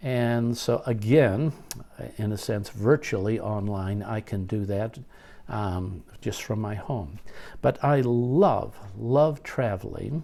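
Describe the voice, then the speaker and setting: In a very clean recording with a silent background, a man at a medium pitch speaks at a very slow pace in a dark, mellow tone with ordinary pitch variation. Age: 70s. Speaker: teacher. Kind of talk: casual monologue. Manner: halting.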